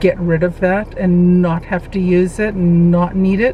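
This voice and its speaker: Noticeable background noise runs behind a woman's speech. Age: 60s. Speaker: weight loss vlogger. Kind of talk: personal vlog monologue. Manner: halting, with fillers and self-repeats.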